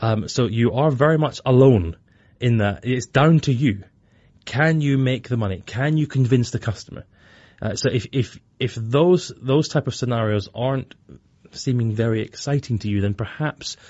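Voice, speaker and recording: A man speaks at a fairly slow pace in a medium-pitched, somewhat breathy voice with ordinary pitch variation. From Scotland. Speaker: bank digital director. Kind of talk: interview.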